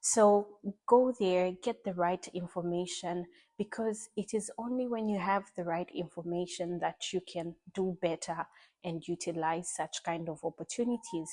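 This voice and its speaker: A woman's medium-pitched, dark and mellow voice at a fairly slow pace, with ordinary pitch variation, a dry, close sound with no echo and a quiet background. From Zambia. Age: 20s. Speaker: university student. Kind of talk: interview.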